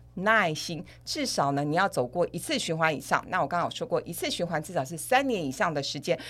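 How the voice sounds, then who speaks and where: A woman speaks in a plain, everyday voice, fairly low in pitch with lively intonation. Her moderate pace comes through a very clean recording with a silent background. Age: 50s. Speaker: financial expert. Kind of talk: podcast interview.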